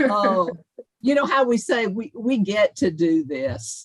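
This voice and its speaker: Speaking very slowly with a Southern accent, a woman uses a medium pitch, a somewhat breathy quality and very wide pitch swings. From South Carolina, US South. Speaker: leadership coach. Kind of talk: interview.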